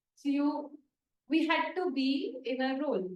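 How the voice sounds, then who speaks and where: There is audible room echo. A woman speaks at a high pitch. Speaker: therapist leading a healing group. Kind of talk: group workshop talk. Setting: in-person group with online participants. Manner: louder than usual.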